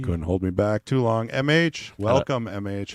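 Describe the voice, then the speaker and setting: Booming and lively in intonation, a man speaks at a moderate pace with a fairly low pitch, the sound dry and close with no echo. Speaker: guest commentator on a pool broadcast.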